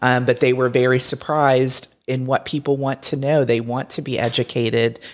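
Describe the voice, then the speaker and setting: The recording is very clean with a silent background, and the speech moves at a moderate pace. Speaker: podcast co-host, visitor center staff. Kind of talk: casual chat.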